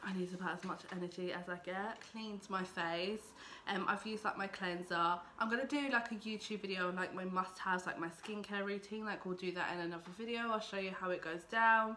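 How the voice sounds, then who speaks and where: The speaker moves at a fairly quick pace with an English accent. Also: woman, medium pitch for a woman. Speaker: beauty vlogger. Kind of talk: makeup tutorial vlog. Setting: home filming with lights. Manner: casual, filler-heavy.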